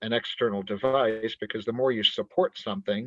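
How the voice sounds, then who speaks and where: Speaking at a moderate pace with an American accent, a man has an unremarkable speaking voice. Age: 50s. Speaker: physician and runner. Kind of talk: interview. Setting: podcast.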